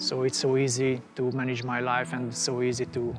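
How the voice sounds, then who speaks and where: A man speaks with a Hungarian accent. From Hungary. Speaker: scientist. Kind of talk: interview. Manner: halting.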